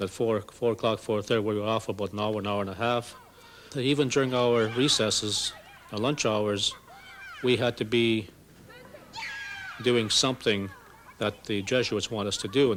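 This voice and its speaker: Speaking with a Great Lakes accent, a man uses a medium pitch and fairly even intonation at a moderate pace, with long, frequent pauses and noticeable background noise. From Canada, First Nations reserve. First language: Ojibwe. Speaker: residential school survivor. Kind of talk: testimony. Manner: halting, repeats words.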